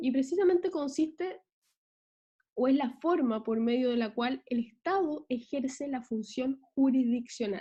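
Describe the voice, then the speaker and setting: A woman's high-pitched voice, dark and mellow in tone, with ordinary pitch variation. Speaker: law lecturer. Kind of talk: online lecture. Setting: video call.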